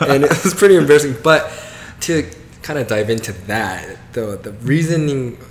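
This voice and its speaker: This man has an American accent and a fairly high pitch, with lively intonation at a moderate pace. The recording carries audible room echo and noticeable background noise. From US South, Georgia. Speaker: comedian. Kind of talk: casual interview chat.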